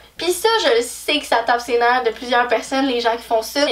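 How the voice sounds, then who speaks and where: A woman talks at a moderate speed with clearly audible noise in the background. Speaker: YouTuber. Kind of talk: casual vlog talk. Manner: loud; animated.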